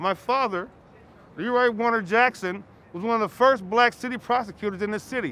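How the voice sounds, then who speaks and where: Raised and projected, a man's high-pitched voice with an American accent comes at a fairly quick pace, with a bright, sharp tone and ordinary pitch variation. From Minnesota. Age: 60s. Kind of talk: street interview testimony. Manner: halting.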